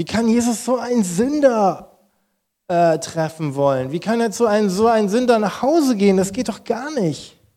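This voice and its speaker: Lively intonation carries a dark, mellow tone at a moderate pace. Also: man. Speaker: pastor. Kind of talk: sermon. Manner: animated.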